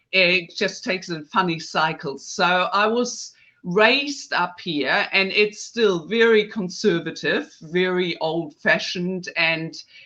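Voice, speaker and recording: A woman with a German accent speaks at a very slow pace. Her tone is bright and sharp, and her intonation is lively. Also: medium pitch for a woman. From northern Germany. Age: 50s. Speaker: face yoga specialist. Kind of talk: podcast interview. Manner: hesitant, with fillers.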